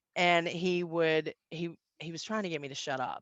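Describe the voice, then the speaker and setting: Against a quiet background, a woman speaks with fairly low pitch and monotone, flat intonation, the sound dry and close with no echo. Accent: slight Southern US. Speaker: business networking trainer. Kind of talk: conference talk.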